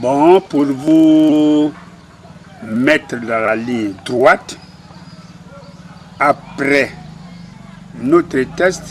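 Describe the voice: Very slow speech from a man with a fairly high pitch, broken by long, frequent pauses. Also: ordinary pitch variation.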